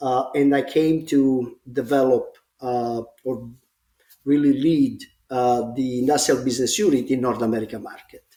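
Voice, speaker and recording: Dark and mellow in tone, a man with an Italian accent speaks at a moderate pace with fairly even intonation. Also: medium pitch for a man. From Italy, grew up in Rome. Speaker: smart building executive. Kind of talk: casual podcast interview. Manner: halting, many fillers.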